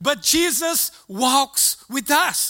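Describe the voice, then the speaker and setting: A man with a Brazilian accent uses a raised, projected voice. His pitch is extremely high and his tone is bright and sharp. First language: Portuguese. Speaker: preacher. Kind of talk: sermon. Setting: church. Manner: halting.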